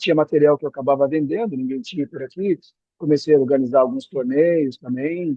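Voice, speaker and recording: A man speaks fairly quickly, his fairly high voice showing ordinary pitch variation. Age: 60s. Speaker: retired executive, beach tennis coach. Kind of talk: podcast interview. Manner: halting, with repetitions.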